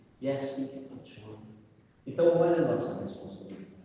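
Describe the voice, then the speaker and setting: A man's voice comes through with audible room echo. Noticeable background noise is also present. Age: 60s. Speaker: spiritist group leader. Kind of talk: group meeting talk.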